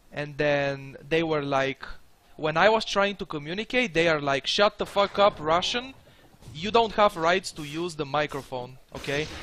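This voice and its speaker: Delivered at a moderate pace with lively intonation, the voice carries a non-native accent. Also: man, fairly high pitch for a man. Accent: foreign accent, milder than before. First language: not English. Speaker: video game streamer. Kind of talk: live gameplay commentary. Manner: casual, hesitant.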